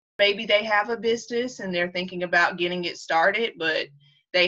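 A woman speaks in a plain, everyday voice at a moderate pace, with medium pitch and ordinary pitch variation. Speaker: podcast host. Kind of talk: interview intro and outro, conversational.

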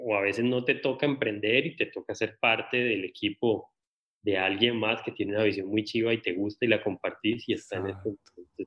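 A man talks at a medium pitch with an ordinary speaking voice. His pace is fairly quick and his intonation fairly even. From Colombia. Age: 30s. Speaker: social media content creator. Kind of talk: casual interview conversation.

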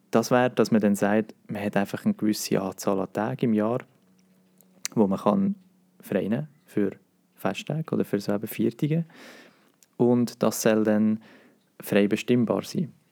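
A man with a Swiss accent, fairly low in pitch with ordinary variation, dark and mellow in tone, with long, frequent pauses and a dry, close sound with no echo. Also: moderate pace. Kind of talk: casual chat.

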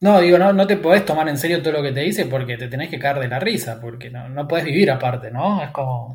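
Very fast, with hardly any pauses: a man's fairly high, somewhat breathy voice with lively intonation. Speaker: podcast host. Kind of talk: casual chat.

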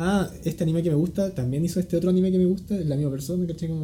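A man with a high pitch and a dark, mellow tone speaks with fairly even intonation. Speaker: type designer. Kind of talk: casual interview. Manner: calm, laid-back.

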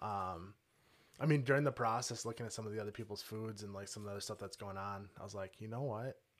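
A man with an Upper Midwest accent, very fast and fairly even in intonation. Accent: Upper Midwest American. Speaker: home cook, cooking competition winner. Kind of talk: casual interview. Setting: studio.

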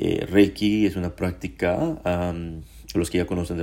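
This man's pitch is very deep and low, with vocal fry. He talks at a fairly slow pace with lively intonation. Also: very clean recording, silent background. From Mexico, Puebla. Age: 40s. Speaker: podcaster sharing faith story. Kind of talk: personal testimony monologue.

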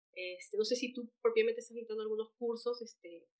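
With a normal speaking voice, a woman talks at a fairly quick pace using fairly even intonation. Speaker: podcast host. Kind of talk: interview.

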